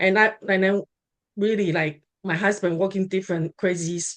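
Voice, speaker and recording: This woman speaks at a medium pitch in a Taiwanese accent. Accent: Taiwanese Mandarin-accented English. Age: 50s. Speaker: real estate investor. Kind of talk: interview. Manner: halting, many fillers and restarts.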